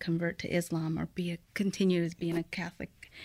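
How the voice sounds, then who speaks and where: A woman speaks with a Midwestern US accent. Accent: US Midwest. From Mexico, raised in Fort Wayne, Indiana from age eight. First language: Spanish. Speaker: guest sharing immigrant story. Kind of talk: interview conversation.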